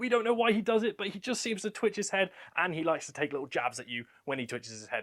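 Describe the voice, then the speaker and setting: This speaker talks at a very fast pace with lively intonation in a British accent. The recording is very clean, with a silent background. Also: man. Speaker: reptile keeper and breeder. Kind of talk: casual presentation, room tour.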